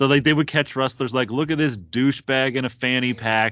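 A man with a normal speaking voice, medium pitch, moderate pace and fairly even intonation. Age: 30s. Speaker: wrestling podcast co-host. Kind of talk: casual chat.

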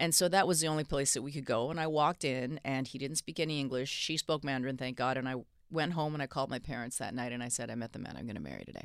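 A woman's very deep, low voice at a very fast pace with hardly any pauses and ordinary pitch variation, on a very clean recording with a silent background. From Canada. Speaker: hip hop manager and author. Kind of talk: interview. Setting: studio.

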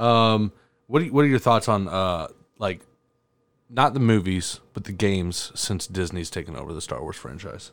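Lively in intonation, a man with a fairly low pitch and an ordinary speaking voice talks at a moderate pace, with big swings in loudness. The recording is very clean, with a silent background. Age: 20s. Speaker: podcast host. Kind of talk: casual chat.

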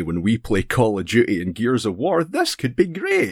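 A man with a Scottish accent at a moderate pace, in a very clean recording with a silent background. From Scotland. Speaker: streamer. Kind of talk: casual chat.

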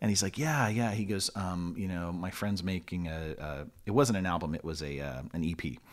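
In a Californian accent, a man talks at a moderate pace with a very deep, low pitch. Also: ordinary pitch variation. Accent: Californian American English. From Long Beach, California. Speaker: musician and former teacher. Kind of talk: casual interview chat.

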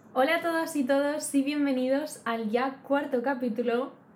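Fairly slow speech with fairly even intonation, audible room echo and noticeable background noise. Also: woman. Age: 20s. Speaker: podcast co-host. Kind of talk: casual chat.

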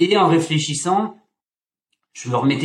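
A man's somewhat breathy voice. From France, Auvergne. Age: 30s. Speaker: fitness coach. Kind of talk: casual chat. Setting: video call.

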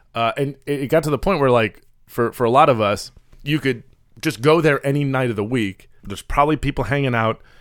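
A man with an American accent talks at a fairly quick pace in a normal speaking voice, medium in pitch with ordinary variation. The recording is very clean, with a silent background. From US Midwest, Chicago. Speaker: podcast co-host. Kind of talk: casual chat.

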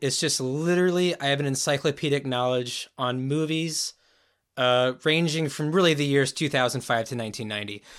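Here a man speaks with an American accent and a normal speaking voice. His pitch is fairly high with ordinary variation, at a moderate pace. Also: very clean recording, silent background. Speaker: podcast co-host. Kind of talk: casual chat.

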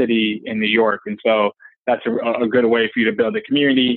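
A man talks at a fairly quick pace with an American accent. His medium-pitched voice stays monotone, with flat intonation. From Detroit, Michigan, US. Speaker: venture capital investor. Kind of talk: interview.

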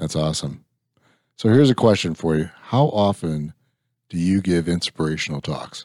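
In a Midwestern American accent, the voice has a dark, mellow tone and long, frequent pauses. The sound is dry and close with no echo, on a very clean recording with a silent background. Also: man, very deep, low pitch for a man, ordinary pitch variation, moderate pace. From Illinois. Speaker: podcast host. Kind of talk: casual interview.

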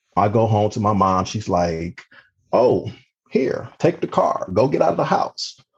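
A man with an ordinary speaking voice talks at a fairly low pitch with lively intonation. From Cleveland, Ohio. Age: 40s. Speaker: police officer. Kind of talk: interview storytelling.

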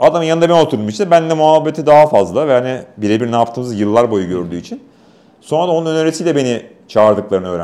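A man talks very fast at a medium pitch, his voice swinging very widely up and down. His tone is dark and mellow. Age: 40s. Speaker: motorsport official and race commentator. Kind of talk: casual interview. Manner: talkative.

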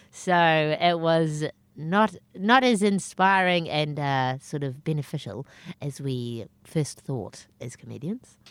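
A woman with a New Zealand accent, a very deep, low pitch, lively intonation and a very slow pace. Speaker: stand-up comedian. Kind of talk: casual interview chat. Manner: self-deprecating, humorous.

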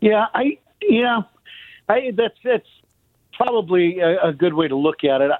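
Lively intonation with long, frequent pauses, in an American accent. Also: man, high pitch for a man. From Chicago. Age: 50s. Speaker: former baseball player and radio broadcaster. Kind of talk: casual chat.

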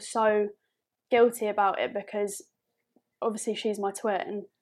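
In a southern English accent, a woman with a fairly high pitch talks at a moderate pace with fairly even intonation over a very clean recording and a silent background. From southern England. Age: 20s. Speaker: podcast guest. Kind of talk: casual chat.

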